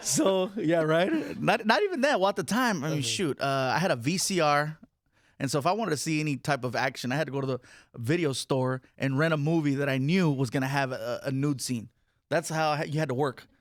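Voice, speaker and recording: With lively intonation and an animated tone, a man with a fairly high pitch talks at a fairly quick pace in a very clean recording with a silent background. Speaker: stand-up comedian. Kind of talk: interview answer at a live audience event. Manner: animated, joking, storytelling.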